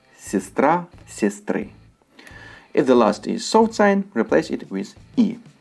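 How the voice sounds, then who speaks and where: With music in the background, someone speaks at a fairly slow pace in a Russian accent. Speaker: language teacher. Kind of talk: tutorial.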